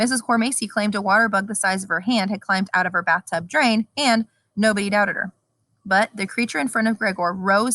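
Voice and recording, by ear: The speaker is reading aloud in a natural voice, with fairly even intonation. The background is quiet.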